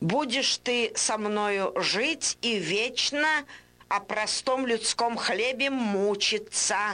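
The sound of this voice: The speaker reads in an unforced reading voice, pitch shifting in an ordinary way.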